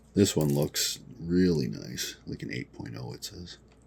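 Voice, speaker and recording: Noticeable background noise runs throughout. The speech moves at a fairly slow pace. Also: man. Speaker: comic book collector and seller. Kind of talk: casual collection showcase video. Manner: casual, hesitant with fillers.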